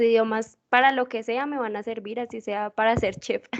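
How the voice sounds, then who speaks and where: Against a quiet background, a woman talks at a fairly slow pace in a fairly high voice. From Colombia, Bogotá. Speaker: student. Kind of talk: self-introduction.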